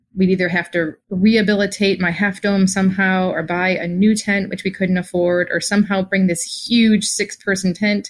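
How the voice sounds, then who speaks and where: On a very clean recording with a silent background, a woman uses a normal speaking voice at medium pitch with fairly even intonation. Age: 40s. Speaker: listener, mother. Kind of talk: personal story.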